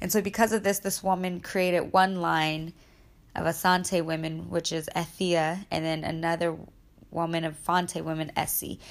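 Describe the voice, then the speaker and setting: Her fairly low pitch stays monotone and flat as the woman talks at a moderate pace. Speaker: podcast host. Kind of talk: casual solo podcast talk with faith reflection. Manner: casual, conversational.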